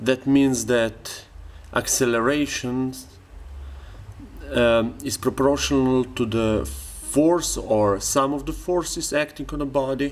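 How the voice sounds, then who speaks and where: Over music in the background, a man speaks at a very slow pace with long, frequent pauses, medium pitch and fairly even intonation. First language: not English (English is third language). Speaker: student. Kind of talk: tutorial. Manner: halting.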